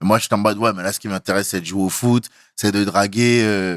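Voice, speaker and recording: A man speaks in an ordinary speaking voice at a fairly low pitch and fairly quick pace, with ordinary pitch variation. The recording is very clean with a silent background and has a dry, close sound with no echo. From Benin. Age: 30s. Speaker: stand-up comedian. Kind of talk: casual interview.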